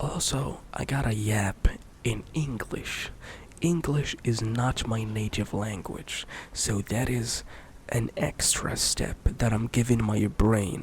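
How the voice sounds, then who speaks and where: Someone whispers at a very slow pace. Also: man. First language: Arabic. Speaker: ASMR youtuber, former streamer. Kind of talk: soft-spoken ramble. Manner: soft-spoken; halting.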